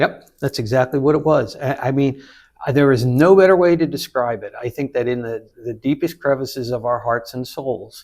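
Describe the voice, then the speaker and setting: A man talks at a moderate pace in a medium pitch. It is a plain, everyday voice with ordinary pitch variation. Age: 60s. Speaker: 9/11 survivor and public speaker. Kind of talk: casual chat.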